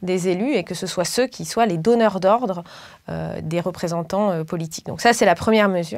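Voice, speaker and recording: A woman with an ordinary speaking voice at a moderate pace, ordinary pitch variation, quiet background. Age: 30s. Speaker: political candidate and professor; candidate, professor. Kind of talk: political interview. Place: studio. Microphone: lapel.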